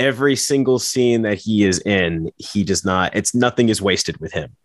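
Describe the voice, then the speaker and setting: A man with a normal speaking voice talks at a moderate pace, his pitch fairly low and his intonation lively. The background is quiet. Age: 30s. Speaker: podcast guest co-host. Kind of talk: casual chat.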